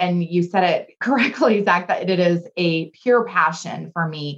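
Speaking at a fairly slow pace with hardly any pauses, a woman with an American accent has a fairly low pitch. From Southern California. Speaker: leadership speaker and trainer. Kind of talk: interview.

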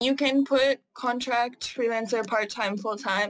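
With a Canadian accent, a woman speaks at a moderate pace in a fairly high pitch, her intonation fairly even and hers an unremarkable speaking voice. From Canada. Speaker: digital marketing freelancer. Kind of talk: interview.

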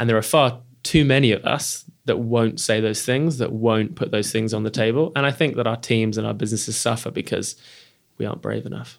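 This man has a plain, everyday voice at a medium pitch, with ordinary pitch variation. He talks at a fairly quick pace. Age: 30s. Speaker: podcast host and company CEO. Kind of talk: interview. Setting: hosted venue.

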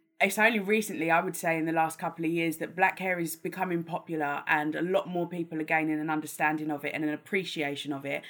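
A woman with a London accent speaks very fast at a fairly low pitch. Her intonation is fairly even, and the recording is very clean with a silent background. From London, England. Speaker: makeup artist and campaigner. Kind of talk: casual interview.

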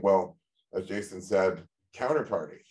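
With a plain, everyday voice, a man speaks at a moderate pace, his pitch fairly low and his intonation fairly even. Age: 50s. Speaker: podcast co-host and gold company founder. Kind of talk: interview.

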